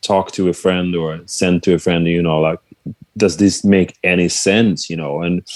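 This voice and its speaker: A man's very deep, low voice with a Swedish accent, monotone and flat, at a moderate pace. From Sweden. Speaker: musician and songwriter. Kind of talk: casual interview chat. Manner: halting, many fillers.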